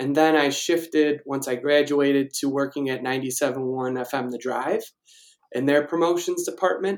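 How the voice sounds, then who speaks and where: Fairly slow and fairly even in intonation, a man with a Chicago accent speaks at a fairly high pitch. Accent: Chicago-area American. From Chicago suburbs, Illinois (Naperville). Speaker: digital marketing freelancer. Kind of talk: interview.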